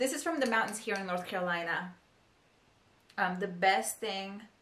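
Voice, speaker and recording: A woman talks at a moderate pace with lively intonation and a medium pitch. Audible room echo surrounds her voice. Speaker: beauty vlogger. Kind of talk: casual tutorial vlog. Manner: chatty, filler-heavy.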